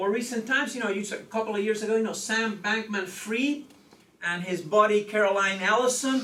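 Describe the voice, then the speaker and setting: A man with a high pitch uses a raised, projected voice at a moderate pace and fairly even intonation, with audible room echo and noticeable background noise. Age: 60s. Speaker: law professor. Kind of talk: lecture. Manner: frequent filler 'okay'.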